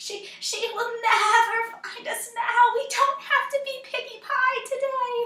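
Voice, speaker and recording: A woman does a put-on character voice at an extremely high pitch, talking fairly slowly with a slight echo. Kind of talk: read story. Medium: read story. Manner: panicky, stammering.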